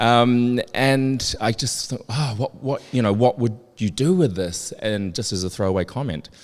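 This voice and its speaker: A man's medium-pitched voice at a fairly slow pace, with ordinary pitch variation and hardly any pauses. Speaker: fragrance industry insider. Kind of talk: live interview on stage. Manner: loud.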